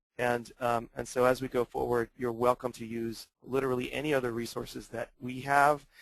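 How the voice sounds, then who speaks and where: A man talks in a monotone, flat intonation with hardly any pauses. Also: medium pitch for a man, moderate pace. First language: German. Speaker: webinar presenter for language coaches. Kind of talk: webinar Q&A. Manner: halting, many fillers.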